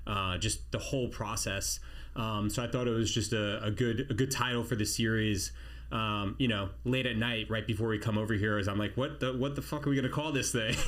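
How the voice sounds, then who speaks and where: There's vocal fry in this man's medium-pitched voice, which keeps a very even loudness amid audible room echo. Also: ordinary pitch variation, fairly quick pace. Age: 40s. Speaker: army special forces veteran, podcast host. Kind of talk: casual chat. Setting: studio.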